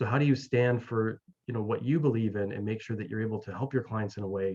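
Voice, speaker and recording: In a Canadian accent, a man with a normal speaking voice talks at a fairly low pitch with fairly even intonation. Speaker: mental wellness coach and author. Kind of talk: interview. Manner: many fillers and repetitions.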